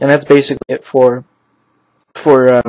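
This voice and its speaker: A man speaks at medium pitch in a monotone, flat intonation. The sound is dry and close, with no echo. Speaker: video editing tutorial maker. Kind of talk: tutorial. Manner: casual, hesitant with many fillers.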